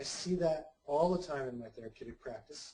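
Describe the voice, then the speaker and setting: A soft-spoken man with a dark, mellow tone sounds somewhat breathy and uses ordinary pitch variation. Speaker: psychotherapist. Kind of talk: lecture. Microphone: sounds far away.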